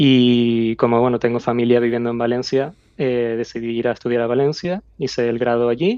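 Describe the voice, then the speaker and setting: Speaking in a Canarian accent, a man keeps a moderate pace, a medium pitch and fairly even intonation. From Canary Islands, Tenerife. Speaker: aerospace engineer. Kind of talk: interview.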